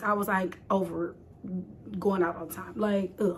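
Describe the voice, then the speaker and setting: With an American accent and an animated tone, a woman speaks at a moderate pace over noticeable background noise. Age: late 20s. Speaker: content creator. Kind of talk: casual talk to camera. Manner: chatty, animated.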